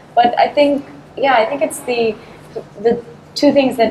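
A woman talks over noticeable background noise. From Chennai, India. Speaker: artist and designer with theatre background. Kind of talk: casual interview conversation.

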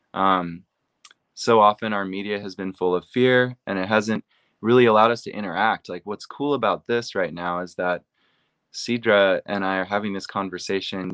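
Recorded very cleanly with a silent background and a dry, close sound with no echo, a man with an American accent speaks at a moderate pace in an unremarkable speaking voice, fairly low in pitch with ordinary pitch variation. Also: big swings in loudness. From US, Seattle, Washington. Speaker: AI platform director. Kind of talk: interview.

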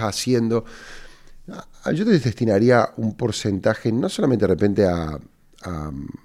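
This man speaks at a fairly slow pace. His pitch sits in the medium range. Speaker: entrepreneur and podcast host. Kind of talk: casual advice monologue answering listener questions. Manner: halting, with repeated words.

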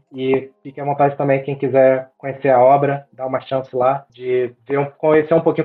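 With monotone, flat intonation, a man talks at a fairly quick pace in a fairly high pitch. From Brazil, Rio de Janeiro (Niterói). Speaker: data scientist and novelist. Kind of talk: interview.

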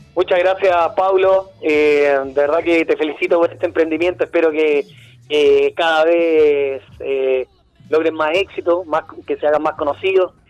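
With a Chilean accent, a man speaks at a fairly high pitch with fairly even intonation and very even loudness, in a dry, close sound with no echo. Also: fairly slow pace. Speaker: radio host. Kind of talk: casual interview.

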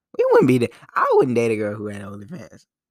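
A man talks at a fairly quick pace in a medium pitch. His voice carries vocal fry. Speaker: solo podcast host. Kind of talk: casual monologue. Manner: halting, many repetitions.

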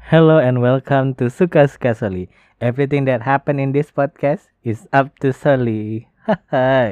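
The speaker has an Indonesian accent and keeps a moderate pace. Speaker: podcast host. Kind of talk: solo podcast talk. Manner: halting.

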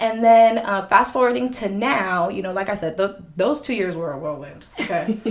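With lively intonation and hardly any pauses, a woman talks at a moderate pace and medium pitch over noticeable background noise. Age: 20s. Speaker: podcast guest sharing testimony. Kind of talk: casual chat. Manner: animated.

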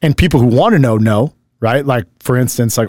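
A plain, everyday voice. Its pitch moves up and down by an ordinary amount. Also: man. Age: 40s. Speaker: podcast host and business coach. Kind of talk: casual chat.

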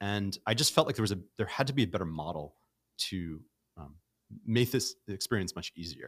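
With an American accent and an unremarkable speaking voice, a man talks at a fairly quick pace in a fairly low pitch, his intonation lively and his loudness swinging widely, in a very clean, silent-background recording with a dry, close sound and no echo. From New York City (Brooklyn). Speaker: startup founder and CEO. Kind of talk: casual interview. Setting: studio.

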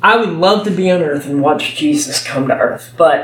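Over noticeable background noise, a man with a Texan accent talks in very wide pitch swings. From Texas. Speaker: preacher. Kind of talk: sermon. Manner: halting.

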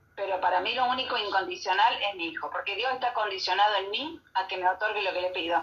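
A woman of medium pitch rattles on at a very fast pace with hardly any pauses and ordinary pitch variation, over noticeable background noise. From Argentina. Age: 70s. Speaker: radio host. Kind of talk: casual chat.

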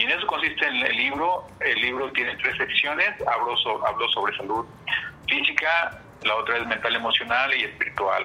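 Against noticeable background noise, a man speaks at a moderate pace with very even loudness. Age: 40s. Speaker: writer and wellness entrepreneur. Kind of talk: interview.

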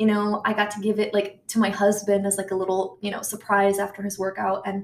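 A woman with an American accent, medium in pitch, at a fairly quick pace in monotone, flat intonation.

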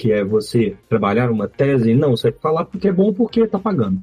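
A man with a dark, mellow tone speaks at medium pitch and a moderate pace. His voice is somewhat breathy, with lively intonation. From Minas Gerais, Brazil (Belo Horizonte). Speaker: software architect. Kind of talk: casual chat.

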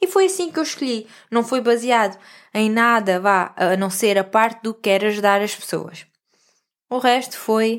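A woman speaks in a normal speaking voice at medium pitch, with fairly even intonation and a moderate pace. The recording is very clean, with a silent background. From central Portugal (Vieira de Leiria). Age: 30s. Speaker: holistic coach and podcast host. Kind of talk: personal storytelling monologue.

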